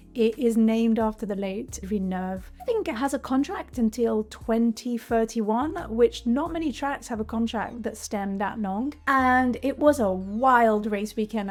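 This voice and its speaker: Over noticeable background noise, a woman with a fairly high pitch speaks in an animated tone at a moderate pace, with ordinary pitch variation. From Belgium. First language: French. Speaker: tech content creator. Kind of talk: vlog-style commentary to camera.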